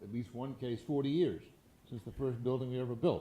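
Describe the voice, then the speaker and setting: There is audible room echo as a man of medium pitch speaks fairly quickly in a dark, mellow tone. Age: 80s+. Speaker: real estate entrepreneur and philanthropist. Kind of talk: fireside chat interview. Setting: stage with audience. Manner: halting, frequent repetitions.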